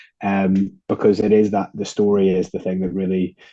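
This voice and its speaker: Speaking with an Irish accent, a man has a very deep, low pitch and a dark, mellow tone. He keeps a moderate pace with monotone, flat intonation. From Ireland. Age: 20s. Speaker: beer company co-founder. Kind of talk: interview conversation.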